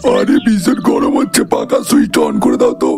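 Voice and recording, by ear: A man speaks in a cartoonish character voice at a moderate pace. Clear music plays behind him.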